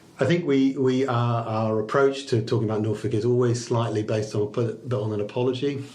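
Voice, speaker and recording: Amid noticeable background noise and audible room echo, a man with a medium pitch talks at a very fast pace with hardly any pauses and fairly even intonation. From Liverpool, England. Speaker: chamber of commerce chief executive. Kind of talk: podcast interview. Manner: halting, many repeated words and fillers.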